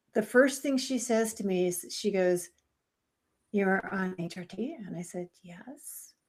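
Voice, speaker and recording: Over a silent background in a very clean recording, a woman with a plain, everyday voice speaks at a fairly slow pace with ordinary pitch variation. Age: 60s. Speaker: podcast host. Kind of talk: casual interview chat.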